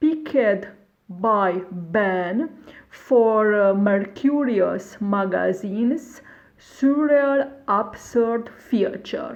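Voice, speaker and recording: With a Hungarian accent, a woman speaks very slowly at a medium pitch, her intonation lively and her loudness very even, in a room with audible echo. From Romania, Bucharest. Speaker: poet. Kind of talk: reading introduction.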